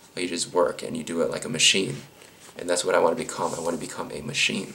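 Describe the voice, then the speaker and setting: Man talking at a very fast pace, with audible room echo and noticeable background noise. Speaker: YouTuber answering viewer questions. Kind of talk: casual Q&A monologue. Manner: halting, many fillers; casual, rambling delivery.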